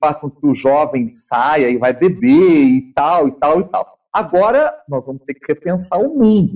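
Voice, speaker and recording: A man talks with lively intonation. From Brazil, Minas Gerais (São João del Rei). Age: 50s. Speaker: viola caipira musician. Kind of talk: interview.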